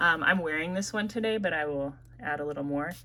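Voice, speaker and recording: Speaking with an American accent, a woman has a very deep, low pitch and vocal fry. Her intonation is lively. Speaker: perfume reviewer. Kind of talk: casual review vlog. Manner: casual, frequent fillers.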